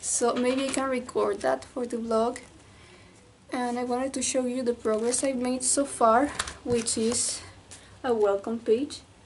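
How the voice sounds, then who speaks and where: Over noticeable background noise, a woman with a high pitch speaks fairly slowly in a monotone, flat intonation. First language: Spanish. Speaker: artist vlogger. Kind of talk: casual vlog chat. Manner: halting, self-correcting.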